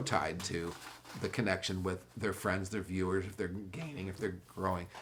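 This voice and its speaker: A man's somewhat breathy, fairly low voice with an American accent, at a fairly quick pace. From US West, Orange County, California. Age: 60s. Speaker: former pro skateboarder. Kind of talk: podcast interview. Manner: halting.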